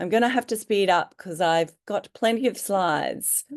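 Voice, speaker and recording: In a normal speaking voice, a woman talks at a moderate pace with ordinary pitch variation against a quiet background. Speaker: naturopath. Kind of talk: webinar lecture. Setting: online webinar.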